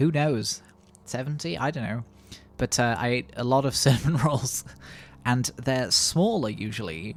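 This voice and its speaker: A man with a British accent at medium pitch, lively in intonation, at a moderate pace with long, frequent pauses. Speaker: gaming YouTuber. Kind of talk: let's play commentary. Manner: casual, rambling; quieter.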